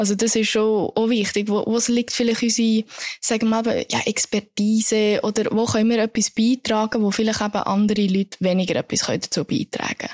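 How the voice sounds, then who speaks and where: At a fairly quick pace, a woman speaks in a fairly high pitch with monotone, flat intonation and very even loudness, in a dry, close sound with no echo. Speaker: podcast co-host. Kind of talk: casual chat.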